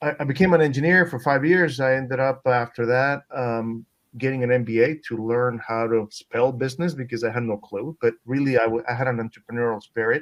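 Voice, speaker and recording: Speaking fairly quickly with hardly any pauses, a man with a Spanish accent uses a medium pitch and ordinary pitch variation. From Peru. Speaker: venture capitalist. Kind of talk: panel discussion. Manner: halting, many fillers and repetitions.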